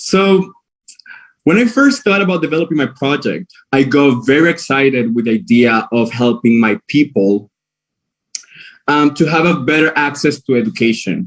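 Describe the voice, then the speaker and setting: Speaking in a Spanish accent at a fairly high pitch, a man uses lively intonation and very even loudness at a moderate pace, with long, frequent pauses. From Venezuela, Maracaibo / La Guajira, Wayuu. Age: 20s. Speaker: pageant contestant, cabin crew. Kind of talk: prepared presentation. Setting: live stream with jury. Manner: hesitant, with fillers.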